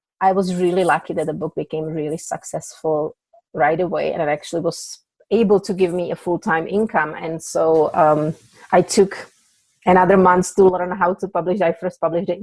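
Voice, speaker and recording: This woman talks at a moderate pace with a Czech accent, her fairly low pitch held in fairly even intonation, and the sound is dry and close with no echo. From Czech Republic. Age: 40s. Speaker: author. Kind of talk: podcast interview.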